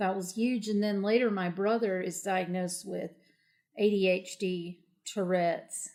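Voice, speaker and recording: In an Appalachian accent, a woman talks at a fairly slow pace with monotone, flat intonation. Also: medium pitch for a woman. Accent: Appalachian, noticeable. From southern West Virginia, Appalachia. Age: 40s. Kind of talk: interview.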